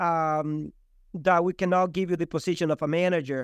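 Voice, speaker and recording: A high-pitched man's voice, dry and close with no echo, over a quiet background. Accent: Spanish. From El Salvador. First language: Spanish. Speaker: real estate agent and team leader. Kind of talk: casual interview chat.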